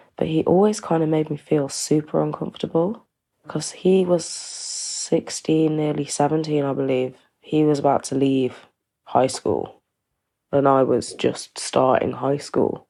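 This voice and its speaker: With an East Midlands accent, a woman speaks at a fairly slow pace. Her voice is very deep and low, with a dark, mellow tone. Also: ordinary pitch variation. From East Midlands, England. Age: 20s. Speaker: domestic abuse survivor. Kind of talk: testimony. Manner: sighing.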